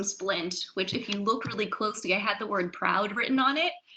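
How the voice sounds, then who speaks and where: A woman with an American accent speaks in an unremarkable speaking voice, using ordinary pitch variation. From Maryland, US. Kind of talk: panel discussion.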